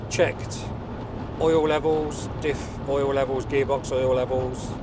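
A man's voice comes through dry with no echo amid noticeable background noise. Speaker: passenger vlogger. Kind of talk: casual vlog chat. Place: car. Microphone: lapel.

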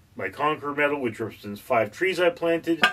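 The man's intonation is lively. Noticeable background noise is present. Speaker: movie reviewer. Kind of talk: casual review monologue.

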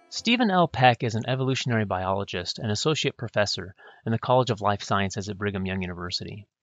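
A man with an American accent and fairly low pitch talks at a very fast pace with ordinary pitch variation over music in the background. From US Pacific Northwest (northwest Washington). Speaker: podcast host, history professor. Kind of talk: scripted introduction; interview.

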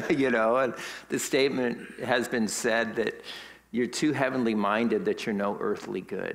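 Ordinary pitch variation from a man at a moderate tempo. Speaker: pastor. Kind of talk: sermon. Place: church.

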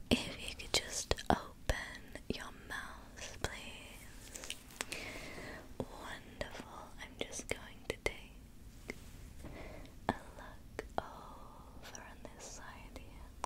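A woman whispers very slowly, leaving long, frequent pauses between her words. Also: big swings in loudness. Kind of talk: soft-spoken roleplay. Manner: soft, gentle ASMR dentist voice. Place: home room.

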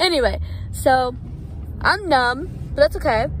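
With light background noise and a dry sound free of echo, a woman speaks at a fairly slow pace. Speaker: vlogger. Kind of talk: casual vlog chat. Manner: numb mouth, hand on chin. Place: car. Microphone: phone near.

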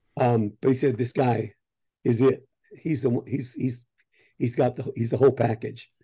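A somewhat breathy man with an American accent and a dark, mellow tone, at a moderate pace with fairly even intonation and long, frequent pauses, over a quiet background. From US Midwest. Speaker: voice actor. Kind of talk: casual interview. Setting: video call from his home office. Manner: halting, many fillers and laughs. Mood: relaxed, reminiscing. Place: home room. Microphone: video call.

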